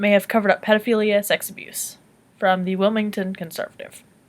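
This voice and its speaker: The background is silent in this very clean recording. A woman talks at a medium pitch. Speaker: vlogger. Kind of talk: casual monologue vlog. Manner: halting when reading; animated.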